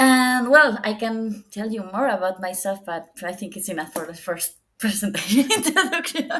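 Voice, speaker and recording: A woman with a Spanish accent talks at a moderate pace in a bright, sharp tone, her intonation lively, her loudness swinging widely, and hardly any pauses between words. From Spain. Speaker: data visualization professional. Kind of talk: podcast interview. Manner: halting.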